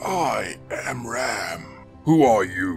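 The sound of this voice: Clear music plays behind a man doing a gruff, put-on character voice at medium pitch.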